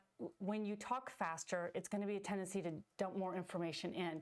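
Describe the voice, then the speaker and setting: A woman speaks at a fairly quick pace with a medium pitch. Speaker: podcast co-host, psychology/fitness coach educator. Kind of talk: educational podcast discussion. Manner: fast.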